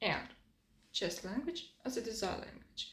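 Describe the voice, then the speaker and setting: High-pitched woman amid audible room echo. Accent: non-native. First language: not English. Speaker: designer and design video creator. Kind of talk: scripted lecture. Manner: non-native, slightly halting.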